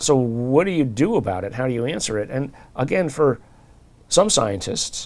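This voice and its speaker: A man's medium-pitched voice with lively intonation at a moderate pace, in a very clean recording with a silent background. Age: 60s. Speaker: professor and researcher. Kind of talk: interview. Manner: halting.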